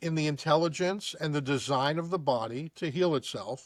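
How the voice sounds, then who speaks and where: A man with a plain, everyday voice speaks at a fairly high pitch and a moderate pace, with ordinary pitch variation. The recording is very clean and silent in the background, with a dry, close sound and no echo. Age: 60s. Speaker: podcast host, chiropractor. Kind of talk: interview conversation.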